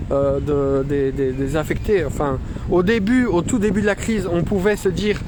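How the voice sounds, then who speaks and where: With ordinary pitch variation, a man's voice comes through noticeable background noise and audible room echo. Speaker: citizen reporter livestreaming a protest. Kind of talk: live stream commentary reading chat. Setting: outdoors walking through Brussels. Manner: halting, many fillers and repetitions.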